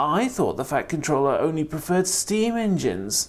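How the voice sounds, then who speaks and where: The speaker uses a put-on character voice at a middle pitch. The pace is moderate, with light background noise. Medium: read story.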